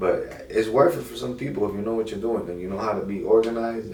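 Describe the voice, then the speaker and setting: A man with a medium pitch talks at a fairly quick pace, and room echo can be heard. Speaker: car rental business owner, YouTuber. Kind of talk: casual advice monologue. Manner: fast.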